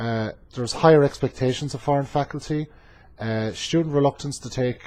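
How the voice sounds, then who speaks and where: In an Irish accent, a man speaks at a moderate pace, somewhat breathy, with ordinary pitch variation. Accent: Irish accent, noticeable to students. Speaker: community college instructor. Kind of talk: class presentation. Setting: webcam recording. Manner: frequent filler hesitations.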